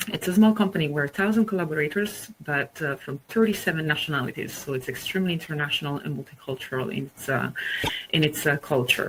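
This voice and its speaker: Very deep and low, a woman's voice rushes along at a very fast pace with lively intonation. Noticeable background noise sits behind her. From Italy. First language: Italian. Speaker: market research executive and webinar speaker. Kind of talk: presentation.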